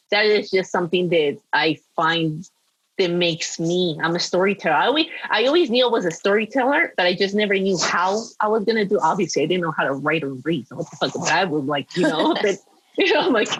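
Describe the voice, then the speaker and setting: With a Spanish accent, a woman of medium pitch talks at a fairly quick pace with lively intonation. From Peru. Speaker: former model and screenwriter. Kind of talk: podcast interview. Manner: animated.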